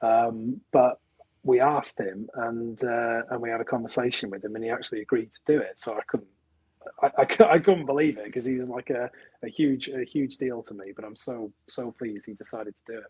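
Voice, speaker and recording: A man with a Welsh accent talks fairly quickly at medium pitch with fairly even intonation. His loudness swings widely, and the sound is dry and close with no echo. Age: 30s. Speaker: film director. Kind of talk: interview.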